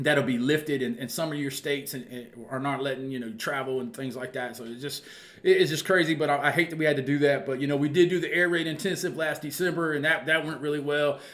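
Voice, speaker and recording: At a very fast pace, a man talks in a fairly high pitch with fairly even intonation. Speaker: football coach and channel host. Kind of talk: casual monologue to viewers.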